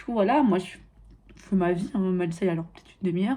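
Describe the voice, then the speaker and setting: Her dark, mellow tone somewhat breathy, a woman rattles along at a very fast pace. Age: 20s. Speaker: lifestyle vlogger. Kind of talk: casual vlog monologue. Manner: animated.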